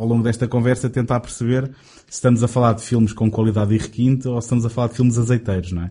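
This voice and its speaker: This man's voice sits at a medium pitch, somewhat breathy, with a dark, mellow tone. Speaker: film podcast host. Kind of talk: casual chat.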